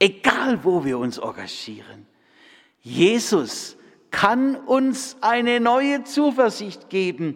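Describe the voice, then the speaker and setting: A man's extremely high-pitched voice at a very slow pace, with lively intonation. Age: 60s. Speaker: preacher. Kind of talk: sermon.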